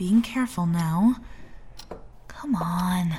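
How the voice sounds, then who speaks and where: Noticeable background noise accompanies a female speaker whose intonation is lively. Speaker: reporter character hosting a scripted wrestling comedy. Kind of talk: scripted comedic audio drama narration. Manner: animated, bright, tongue-in-cheek.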